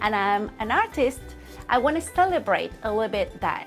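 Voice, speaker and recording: Music plays in the background as a woman with a non-native accent speaks at a fairly slow pace. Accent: foreign accent, non-native English. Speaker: fabric designer. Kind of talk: casual talk to camera. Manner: slow, hesitant with fillers.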